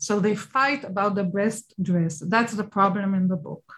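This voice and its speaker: In an Israeli accent, a woman speaks at a fairly slow pace with a medium pitch, ordinary pitch variation and a somewhat breathy voice. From Israel, Tel Aviv and Ashdod. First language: Hebrew. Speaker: children's book publisher and author. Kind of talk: interview.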